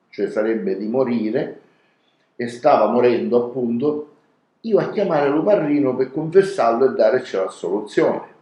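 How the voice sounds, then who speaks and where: A man with an unremarkable speaking voice, lively intonation and a moderate pace. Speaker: storyteller. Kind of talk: dialect story reading.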